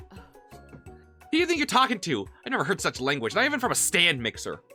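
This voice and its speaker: A man's put-on, gruff character voice, high-pitched, raised and projected, at a fairly quick pace over faint music in the background. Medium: virtual streamer.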